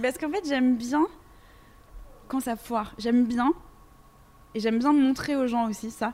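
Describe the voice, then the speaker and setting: The woman's voice is fairly high in pitch, with ordinary variation. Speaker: radio host. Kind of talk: interview. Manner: fast.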